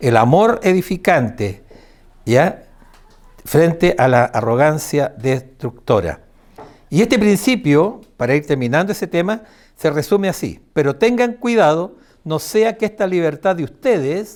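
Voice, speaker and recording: Very wide pitch swings at a fairly slow pace. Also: man, high pitch for a man. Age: 70s. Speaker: preacher. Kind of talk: sermon. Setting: church.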